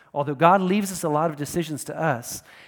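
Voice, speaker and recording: Speaking at a fairly quick pace, a man with an American accent uses a fairly high pitch on a very clean recording with a silent background. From United States. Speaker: pastor. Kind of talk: sermon. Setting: church.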